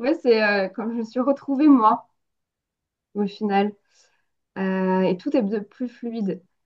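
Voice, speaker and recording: A woman's fairly high voice at a very slow pace, ordinary pitch variation, and long, frequent pauses. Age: 30s. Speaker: medium. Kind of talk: interview. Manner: hesitant, frequent filler sounds.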